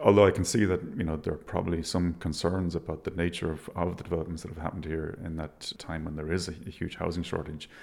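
In an Irish accent, a man with a very deep, low voice talks at a very fast pace in a monotone, flat way with hardly any pauses. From Ireland, Galway. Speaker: architect. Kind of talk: interview. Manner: halting.

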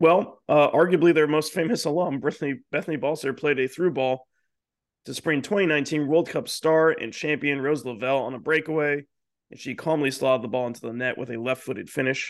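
Against a quiet background, a man with an unremarkable speaking voice talks at a fairly quick pace with a fairly high pitch and ordinary pitch variation. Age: 20s. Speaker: soccer podcast co-host. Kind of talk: casual chat with scripted news rundown.

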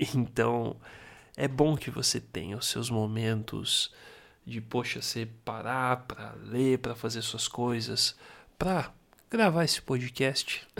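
A relaxed tone at a very slow pace. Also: man, medium pitch for a man, ordinary pitch variation, very clean recording, silent background. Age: 30s. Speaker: podcaster. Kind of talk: casual monologue.

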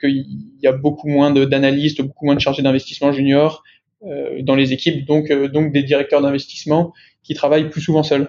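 A man's fairly high-pitched voice. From France, Lyon. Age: 20s. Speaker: junior private equity investment officer. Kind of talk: interview. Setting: remote recording. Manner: halting, repeats words.

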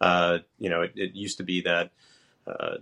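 A man's very deep, low voice with a bright, sharp tone and an American accent, against a quiet background. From New York. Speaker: tech company president and home builder. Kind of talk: podcast interview. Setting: remote call.

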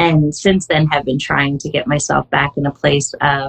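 The speaker has a Canadian accent and some vocal fry. The pace is fairly slow. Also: woman. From Canada. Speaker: wellness app community coach. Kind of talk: casual interview.

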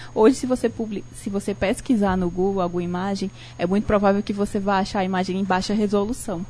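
Talking at a very fast pace, a woman has a dark, mellow tone, some breathiness, and fairly even intonation. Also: medium pitch for a woman. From Brazil, Ceará (Cariri region, Barbalha). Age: 30s. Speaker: designer and law student. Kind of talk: radio talk show interview. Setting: radio studio, live broadcast.

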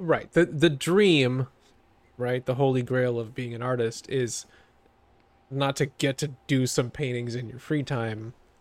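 A plain, everyday voice from a man at medium pitch, with fairly even intonation and a fairly slow pace. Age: 30s. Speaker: podcast co-host. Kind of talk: casual chat.

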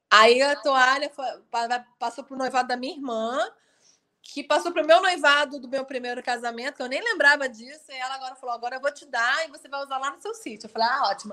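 A woman's raised, projected voice, high-pitched with a bright, sharp tone, ordinary pitch variation, a very fast pace and big swings in loudness. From Rio de Janeiro, Brazil. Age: 40s. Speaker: student moving to a rural smallholding. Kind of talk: casual interview.

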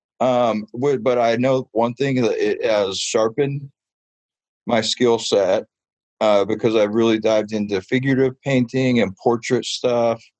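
An ordinary speaking voice in an American accent, fairly slow, with fairly even intonation, very even loudness, and a dry, close sound with no echo. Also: man, medium pitch for a man. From Southern California, Ventura County. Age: 30s. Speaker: street artist and muralist. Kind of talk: radio interview.

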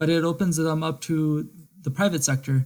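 At a moderate pace, this man talks with a fairly high pitch and ordinary pitch variation. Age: 20s. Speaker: politics graduate, aspiring lawyer. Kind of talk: casual discussion.

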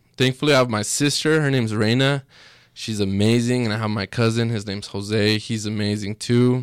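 A man of medium pitch talks fairly quickly, the sound dry and close with no echo in a very clean recording with a silent background. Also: fairly even intonation. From Mexico, raised in Utah from age six. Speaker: entrepreneur. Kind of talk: casual chat.

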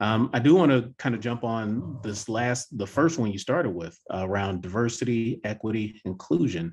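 A man talks in a plain, everyday voice at medium pitch and a moderate pace, with ordinary pitch variation over a quiet background. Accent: American. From US South. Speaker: podcast host. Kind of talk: interview conversation.

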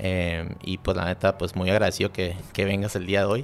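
The man's voice has a very deep, low pitch. He speaks at a moderate pace with monotone, flat intonation. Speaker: podcast host. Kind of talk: casual interview. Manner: casual, slangy.

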